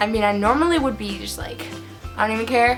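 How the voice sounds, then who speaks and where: A woman speaks in an upbeat tone. Music plays behind her. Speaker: book reviewer. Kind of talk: casual talk to camera. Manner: upbeat, chatty.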